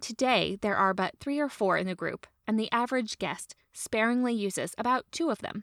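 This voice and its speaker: In a dry, close sound with no echo, a woman with an ordinary speaking voice and fairly high pitch talks at a moderate pace with ordinary pitch variation. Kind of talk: reading aloud a 1900s literary essay. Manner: measured, formal, storytelling cadence.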